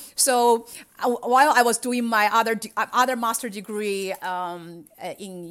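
In a very clean recording with a silent background, a woman with a Chinese accent speaks very slowly at a fairly high pitch with ordinary pitch variation. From China. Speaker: cybersecurity executive. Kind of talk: interview.

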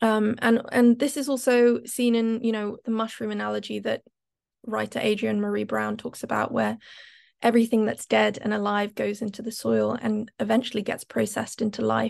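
At a moderate pace, a woman speaks over a quiet background. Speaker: climate activist. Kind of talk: panel talk.

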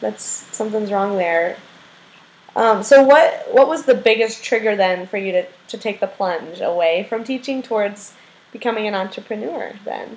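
A woman's fairly high voice at a moderate pace with ordinary pitch variation, over noticeable background noise. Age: 20s. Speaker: podcast host. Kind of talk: interview.

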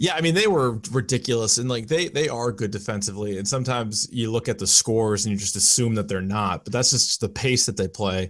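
An ordinary speaking voice from a man, medium in pitch, at a fairly quick pace with ordinary pitch variation, on a very clean recording with a silent background. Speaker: radio host and sports commentator. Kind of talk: casual chat.

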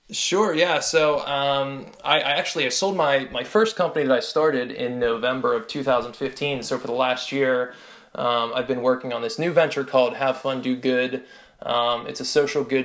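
Here is a man with an ordinary speaking voice and a medium pitch. He talks at a moderate pace with ordinary pitch variation. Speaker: travel company founder. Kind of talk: interview.

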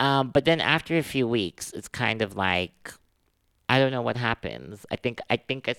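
Lively intonation and vocal fry mark this man's medium-pitched voice. The sound is dry and close with no echo, on a very clean recording with a silent background. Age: 20s. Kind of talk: interview conversation. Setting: studio.

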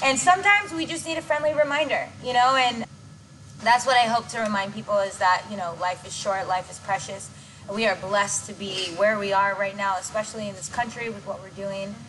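A woman with a fairly high voice talks fairly quickly, with lively intonation and big swings in loudness, over noticeable background noise. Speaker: dance choreographer and director. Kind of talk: casual interview chat. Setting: gym. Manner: stutters at times.

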